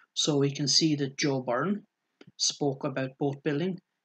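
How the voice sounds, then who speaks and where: Someone with an Irish accent speaks with fairly even intonation, the sound dry and close with no echo. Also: man, quiet background. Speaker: library staff member. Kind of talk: tutorial. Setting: screen recording.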